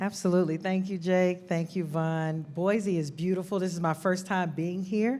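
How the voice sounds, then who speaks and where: In a dark, mellow tone, a woman talks with hardly any pauses. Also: medium pitch for a woman, moderate pace. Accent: Atlanta. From US South, Atlanta, Georgia. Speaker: nonprofit director, army veteran. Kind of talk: panel discussion. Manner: animated.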